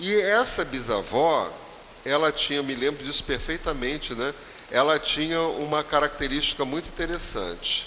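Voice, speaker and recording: A man talks at a fairly slow speed and a fairly high pitch, with noticeable background noise behind him. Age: 70s. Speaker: spiritist lecturer. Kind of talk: religious talk. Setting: spiritist center.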